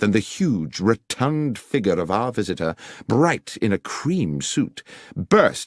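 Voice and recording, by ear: The clip is reading aloud in a natural voice.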